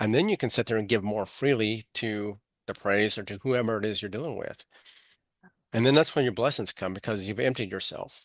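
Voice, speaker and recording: Over a quiet background, the speaker talks at a fairly quick pace in a Texan accent. The pitch varies in an ordinary way. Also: man, medium pitch for a man. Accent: Texan American. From Texas, Amarillo. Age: 60s. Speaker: author and speaker, navy veteran. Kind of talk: podcast interview.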